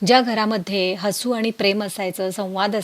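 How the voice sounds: The voice is a natural reading voice with fairly even intonation.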